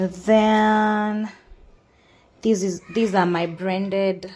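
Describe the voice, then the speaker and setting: A woman speaks with a Kenyan accent at a very slow pace. Her intonation is flat and monotone. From Kenya (Kikuyu). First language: Kikuyu. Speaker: cooking channel host. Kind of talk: cooking tutorial. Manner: casual, with hesitations.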